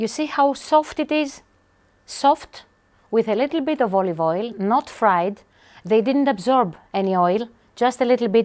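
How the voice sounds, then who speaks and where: Her voice fairly high and her intonation lively, a woman with a Greek accent speaks at a fairly slow pace. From Greece, Aegean islands. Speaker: chef. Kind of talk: cooking tutorial. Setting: home kitchen. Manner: animated.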